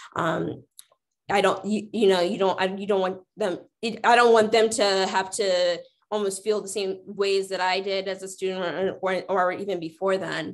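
A woman with an American accent at a moderate pace, monotone and flat in intonation, against a quiet background. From US Midwest. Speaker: diversity officer at a college; panelist. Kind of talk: panel discussion. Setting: video call. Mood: earnest, reflective. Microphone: video call.

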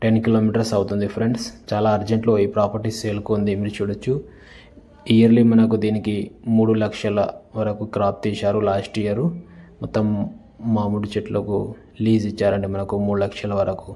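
With a dark, mellow tone, a man speaks at a fairly low pitch and moderate pace in monotone, flat intonation.

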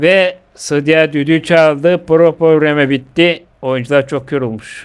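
A man with a Bulgarian Thracian accent speaks very slowly in a fairly high voice. His intonation stays fairly even. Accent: Bulgarian Thracian Turkish dialect. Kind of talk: comic football commentary over video game.

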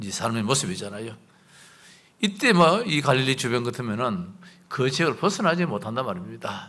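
A man of medium pitch with very wide pitch swings, a bright, sharp tone, a fairly quick pace and audible room echo. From South Korea, Gyeongbuk (Chilgok). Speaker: pastor. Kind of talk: sermon.

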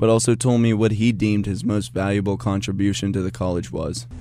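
With music in the background, a man speaks at a fairly low pitch and a fairly quick pace with ordinary pitch variation. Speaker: student TV reporter. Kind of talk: news package narration.

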